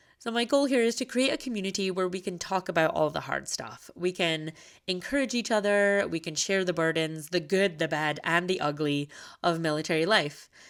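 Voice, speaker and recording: A woman with a fairly low pitch speaks at a moderate pace with lively intonation. The recording is very clean, with a silent background. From Scotland. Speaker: podcast host, military wife. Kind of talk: podcast monologue.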